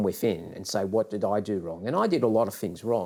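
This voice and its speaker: With an Australian accent, a man talks at a fairly quick pace and fairly low pitch, with ordinary pitch variation, on a very clean recording with a silent background. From Australia, Western Sydney. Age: 60s. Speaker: business leader and author. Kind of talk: interview.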